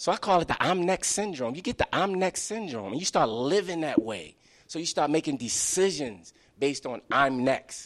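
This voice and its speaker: With an American accent and vocal fry, a man speaks at a fairly high pitch with very wide pitch swings on a very clean recording with a silent background. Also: moderate pace. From Baltimore, Maryland (West Baltimore). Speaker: author and youth advocate. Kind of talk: book talk to live audience. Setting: library event with audience.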